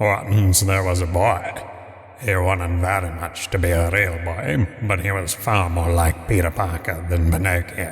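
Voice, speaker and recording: This man has a very deep, low voice. He talks at a moderate pace with flat, monotone intonation. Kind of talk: dry comic storytelling. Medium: solo performance. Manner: dry, wry.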